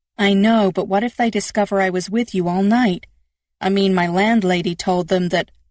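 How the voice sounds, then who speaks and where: A woman's shaky, put-on character voice at medium pitch, moderate in pace, with fairly even intonation. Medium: read story. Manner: nervous, shaky.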